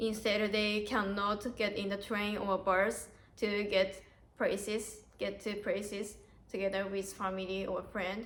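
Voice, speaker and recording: Amid audible room echo, a woman at medium pitch speaks at a fairly slow pace in a monotone, flat way. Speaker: au pair, vlogger. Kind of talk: interview. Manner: halting.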